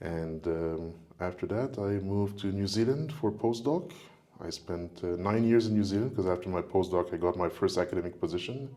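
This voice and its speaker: A man with a French accent, fairly low in pitch, dark and mellow in tone. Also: ordinary pitch variation, moderate pace. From Quebec, Montreal. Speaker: professor. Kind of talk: casual chat.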